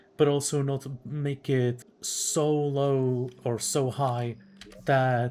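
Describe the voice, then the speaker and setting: The speaker has a non-native accent. The tone is relaxed. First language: not English. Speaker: gaming youtuber. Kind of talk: gameplay commentary. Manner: casual, relaxed.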